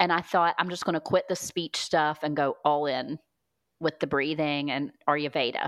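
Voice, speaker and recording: An ordinary speaking voice at a moderate pace, dry and close with no echo, over a quiet background. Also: woman. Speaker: speech-language pathologist. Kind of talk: testimony.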